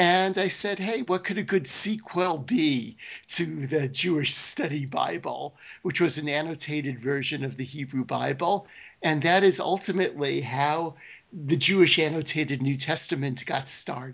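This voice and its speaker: A man talks at a moderate pace with a fairly high pitch. His voice has vocal fry. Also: ordinary pitch variation. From Brooklyn, New York. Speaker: professor of biblical studies. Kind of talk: interview. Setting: remote call.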